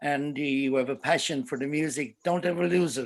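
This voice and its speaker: Over a quiet background, a man with a fairly high pitch speaks in an Irish accent. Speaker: folk musician and show host. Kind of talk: casual chat. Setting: livestream.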